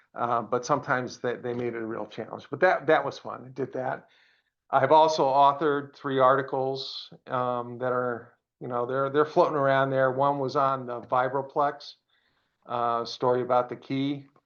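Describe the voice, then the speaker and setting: With an American accent, a man speaks at a moderate pace and medium pitch in a monotone, flat intonation. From Pennsylvania. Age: 60s. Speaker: retired engineer and radio amateur. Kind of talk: presentation to a club. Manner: halting, many fillers.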